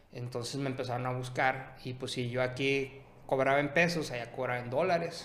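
Noticeable background noise and audible room echo surround a man with a medium pitch, speaking at a fairly quick pace with fairly even intonation. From Sonora, Mexico (Ciudad Obregón). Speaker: image consultant and entrepreneur. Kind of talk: casual chat.

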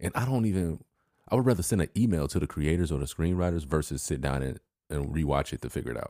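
A man with an American accent speaks at a very fast pace in a very deep, low pitch. His tone is dark and mellow, and his intonation is lively. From Chicago area. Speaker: podcast co-host. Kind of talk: casual chat.

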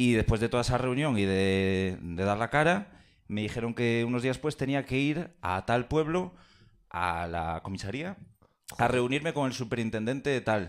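A man speaks at a moderate pace with lively intonation and a medium pitch, on a very clean recording with a silent background. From Galicia (Pontevedra). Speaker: audience member. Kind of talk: storytelling. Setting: stage with audience.

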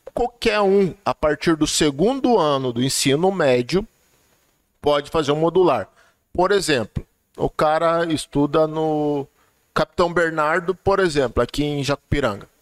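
A man with an unremarkable speaking voice talks at a fairly slow pace and fairly high pitch, using ordinary pitch variation. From Vale do Ribeira, São Paulo state, Brazil (Cajati). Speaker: technical school director. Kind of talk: casual chat.

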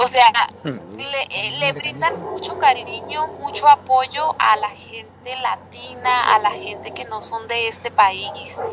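Over noticeable background noise, a woman talks very slowly in a high pitch, with lively intonation and big swings in loudness. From Mexicali, Baja California, Mexico. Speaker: Mexican immigrant community volunteer. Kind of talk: interview.

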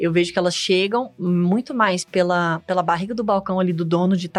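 A woman talks at a fairly quick pace and a medium pitch, her intonation fairly even. It is a plain, everyday voice. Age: 30s. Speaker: business consultant. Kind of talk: casual interview.

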